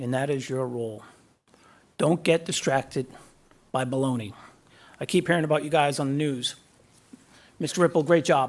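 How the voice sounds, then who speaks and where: With a Boston accent, a man of fairly high pitch speaks at a moderate pace with ordinary pitch variation and long, frequent pauses. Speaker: guest speaker, defense official. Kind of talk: graduation speech. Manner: halting.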